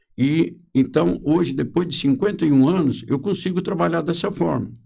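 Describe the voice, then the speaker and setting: With a dark, mellow tone and vocal fry, a man speaks at a fairly high pitch and a moderate pace, keeping very even loudness and ordinary pitch variation. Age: 70s. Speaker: social security lawyer. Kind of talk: podcast interview.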